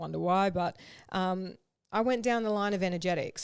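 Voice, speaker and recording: Recorded very cleanly against a silent background, a woman speaks at a medium pitch. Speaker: podcast host. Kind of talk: casual chat. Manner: loud; animated.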